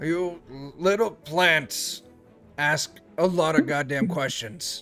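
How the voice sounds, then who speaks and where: A man's put-on character voice, fairly high in pitch and very slow, over faint background music. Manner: gruff, harsh.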